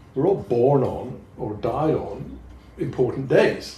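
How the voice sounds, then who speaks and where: Somewhat breathy and medium in pitch, a man talks with ordinary pitch variation in a room with audible echo. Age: 70s. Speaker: poet. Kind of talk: casual chat.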